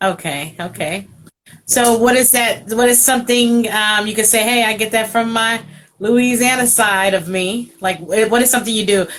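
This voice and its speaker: Using an ordinary speaking voice, a woman speaks with a fairly high pitch and ordinary pitch variation at a moderate pace. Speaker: radio host. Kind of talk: interview. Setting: video call.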